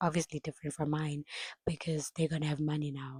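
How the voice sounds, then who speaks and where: A woman speaks at a very deep, low pitch in a monotone, flat manner, somewhat breathy. Her fairly quick delivery sounds dry and close with no echo. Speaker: vlogger. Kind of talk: casual chat.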